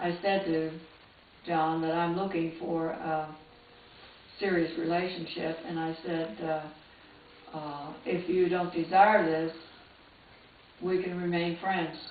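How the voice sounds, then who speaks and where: Speaking very slowly with long, frequent pauses, a woman with an American accent uses a fairly low pitch and monotone, flat intonation amid audible room echo and noticeable background noise. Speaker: retired nurse and nursing teacher. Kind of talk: life story interview. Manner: halting, with many uh fillers.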